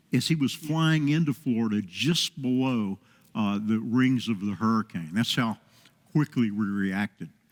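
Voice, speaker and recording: The speech moves at a fairly slow pace with lively intonation, the sound dry and close with no echo. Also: man, medium pitch for a man. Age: 60s. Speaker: pilot and relief organizer. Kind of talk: interview on a TV talk show. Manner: halting with many fillers.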